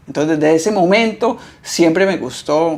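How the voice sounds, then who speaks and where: A man with an ordinary speaking voice speaks at a fairly high pitch. His pace is moderate and his pitch variation ordinary. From Costa Rica. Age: 30s. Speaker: tattoo artist. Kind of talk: interview.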